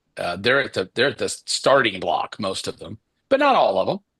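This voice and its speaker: A man's bright, sharp voice with a Kentucky accent, dry and close with no echo. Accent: Southern US (Kentucky). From Kentucky (Paducah). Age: 60s. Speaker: business coach. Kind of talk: live webinar talk. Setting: livestream. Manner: casual, filler-heavy.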